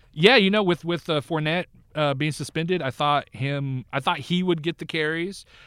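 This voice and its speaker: A man with an American accent speaks at a moderate pace in an ordinary speaking voice, fairly high for a man, with ordinary pitch variation, in a very clean recording with a silent background and a dry, close sound with no echo. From Northern California. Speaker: fantasy football analyst and podcast co-host. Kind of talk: casual chat.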